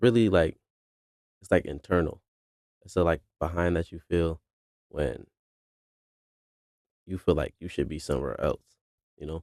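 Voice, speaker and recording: A man's very deep, low voice with vocal fry, ordinary pitch variation and a moderate pace, in a dry, close sound with no echo. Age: 20s. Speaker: commentary YouTuber. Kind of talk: unscripted casual talk to camera. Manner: hesitant, with repeated words and pauses.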